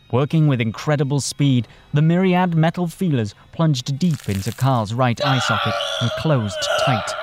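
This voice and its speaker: A man with a fairly high pitch delivers lines in a theatrical, animated tone with lively intonation and very even loudness. His pace is moderate, and noticeable background noise is present. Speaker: audiobook narrator and author who voices all characters. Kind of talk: dramatic scripted narration of a sci-fi audio drama. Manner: theatrical, animated, vividly voicing characters.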